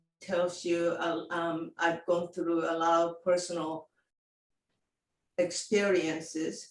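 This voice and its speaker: A woman speaks with a Japanese accent at a very slow pace. Her pitch is fairly low. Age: 70s. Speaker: living library volunteer. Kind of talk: personal introduction. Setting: video call.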